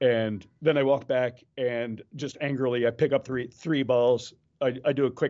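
The speaker is a man with an ordinary speaking voice. He talks at a medium pitch, his intonation fairly even. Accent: American. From Maryland, US. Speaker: juggler and comedian. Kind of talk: casual interview.

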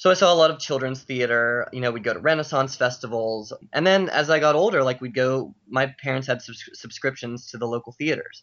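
A man with an American accent talks at a fairly quick pace and medium pitch, with hardly any pauses and ordinary pitch variation. It is an ordinary speaking voice, with big swings in loudness. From Pittsburgh, US. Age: young. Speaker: professional juggler. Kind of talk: interview. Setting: Skype call.

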